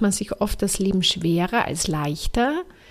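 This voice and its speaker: Here a woman has an unremarkable speaking voice. She talks at a fairly slow pace with lively intonation. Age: 30s. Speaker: podcast host and life coach. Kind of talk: motivational monologue.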